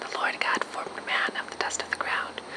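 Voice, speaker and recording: A man whispers at a moderate pace, with noticeable noise in the background. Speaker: ASMR creator. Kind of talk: ASMR Bible reading. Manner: whispered.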